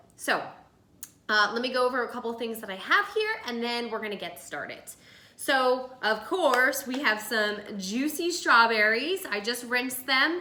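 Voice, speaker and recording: A woman with a New Jersey accent, high pitch and lively intonation, with audible room echo and noticeable background noise. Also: moderate pace. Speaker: lifestyle video host. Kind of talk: casual cooking tutorial. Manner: chatty.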